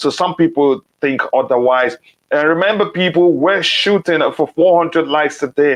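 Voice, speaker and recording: A man speaks with a non-native accent at a moderate pace. His voice is fairly high, with ordinary pitch variation. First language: not English. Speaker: football podcast host. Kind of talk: live stream chat. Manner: halting.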